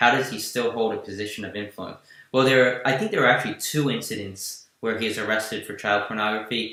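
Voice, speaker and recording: With a New Jersey accent, a man speaks at a medium pitch in a bright, sharp tone and monotone, flat intonation. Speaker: political news podcast host. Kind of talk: live stream political chat.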